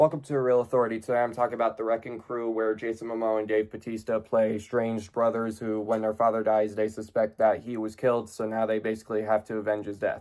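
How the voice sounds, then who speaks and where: A man at medium pitch talks at a very fast pace in a monotone, flat intonation with hardly any pauses. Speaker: film critic. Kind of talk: movie review. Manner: low energy.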